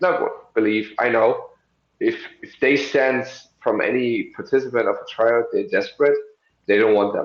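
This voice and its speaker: A man with a German accent at a moderate pace. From Germany. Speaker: professional wrestler. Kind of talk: interview. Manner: halting, with fillers.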